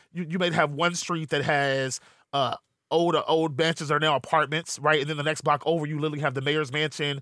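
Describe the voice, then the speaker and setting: On a very clean recording with a silent background, a man with a fairly high pitch and a bright, sharp tone talks at a fairly quick pace in a monotone, flat intonation. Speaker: podcast co-host. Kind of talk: casual chat and interview.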